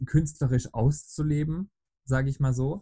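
Somewhat breathy and dark, mellow in tone, a man speaks at a fairly slow pace with fairly even intonation, in a dry, close sound with no echo. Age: 20s. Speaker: podcast guest. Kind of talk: casual chat.

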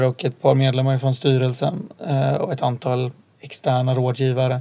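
A man's medium-pitched voice holds fairly even intonation and moves at a moderate pace. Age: 20s. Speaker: entrepreneur. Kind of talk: interview. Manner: hesitant, many fillers.

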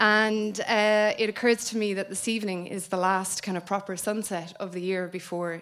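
A woman in an Irish accent at a moderate pace, medium in pitch, with fairly even intonation and hardly any pauses. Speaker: book editor. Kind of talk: event MC. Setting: stage with audience.

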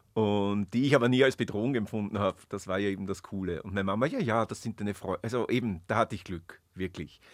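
The speaker talks at a very fast pace with hardly any pauses and ordinary pitch variation. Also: man, fairly low pitch for a man. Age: 50s. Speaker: witch, shop owner. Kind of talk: interview. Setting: studio.

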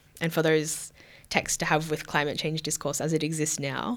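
A woman with an Australian accent speaks at a fairly quick pace. Her very deep, low voice comes through on a very clean recording with a silent background. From Victoria, Australia (Queenscliff, near Geelong). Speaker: PhD researcher. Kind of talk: interview conversation.

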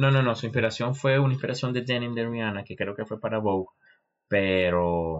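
A man with a fairly low pitch has an unremarkable speaking voice, with ordinary pitch variation and a moderate pace. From Venezuela, Maracaibo. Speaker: podcast co-host. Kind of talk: casual chat.

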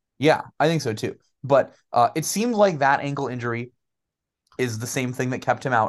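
A man in a normal speaking voice with an American accent, ordinary pitch variation, a moderate pace and a quiet background. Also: medium pitch for a man. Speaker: sports podcast co-host and school teacher. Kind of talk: casual sports chat.

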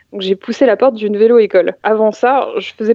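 Talking at a fairly quick pace, a woman uses a normal speaking voice with a fairly high pitch and ordinary pitch variation. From Paris region, France. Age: 30s. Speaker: IT consultant and adult cycling learner. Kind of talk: interview.

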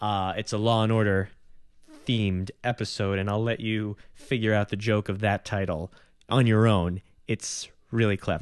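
A man with an American accent, fairly low in pitch, at a moderate pace with monotone, flat intonation. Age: 20s. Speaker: podcast host and comedian. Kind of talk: casual interview with intro. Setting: home apartment recording. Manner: halting, self-conscious, filler words.

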